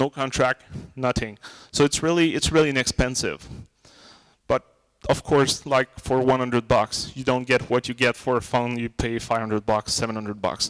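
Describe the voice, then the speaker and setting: A man with a Quebec accent speaks at medium pitch and a moderate pace. His intonation is fairly even, and the sound is dry and close with no echo. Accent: Québécois French accent in English. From Quebec, Montreal. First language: French. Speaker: tech conference speaker. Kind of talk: tech talk Q&A. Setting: small room with audience and mic. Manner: loud.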